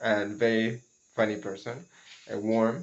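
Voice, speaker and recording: A man talks with a non-native accent. His pitch is medium and his pace fairly slow. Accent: non-native English speaker. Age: 20s. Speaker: cocoa farmer and vlogger. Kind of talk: casual vlog monologue. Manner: halting, with many repetitions and fillers.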